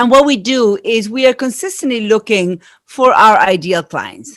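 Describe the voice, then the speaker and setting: In a very clean recording with a silent background, a woman with an Argentine accent speaks with lively intonation. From Argentina. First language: Spanish. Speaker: marketing strategist. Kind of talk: podcast interview.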